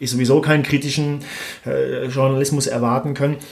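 A man's intonation stays monotone and flat while noticeable background noise plays behind him. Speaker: podcast host. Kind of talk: casual interview. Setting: office, creaking leather chairs.

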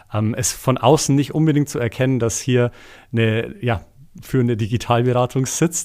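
A man's medium-pitched voice at a moderate pace, fairly even in intonation, on a very clean recording with a silent background. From Bavaria, village near Eichstätt. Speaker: executive assistant and podcast producer. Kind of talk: casual chat. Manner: hesitant, many filler sounds.

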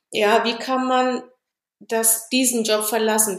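A woman speaks at a moderate pace. Her voice is fairly high in pitch. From Ethiopia. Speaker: engineer. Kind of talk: interview.

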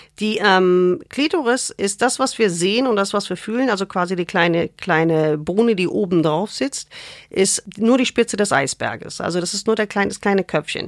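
A woman with a non-native accent speaks at a medium pitch and moderate pace, her intonation lively. The recording is very clean and dry, close with no echo and a silent background. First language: not German (speaking German). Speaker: gynecologist and author. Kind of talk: casual interview. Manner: informal, colloquial.

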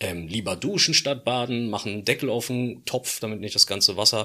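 A man's medium-pitched voice with a bright, sharp tone, ordinary pitch variation and a moderate pace. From Berlin. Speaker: economics professor and podcast co-host. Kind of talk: casual chat.

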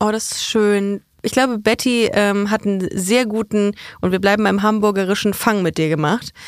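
In a normal speaking voice of medium pitch, a woman talks at a moderate pace with fairly even intonation, the sound dry and close with no echo. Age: 30s. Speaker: podcast host. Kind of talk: casual chat. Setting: studio.

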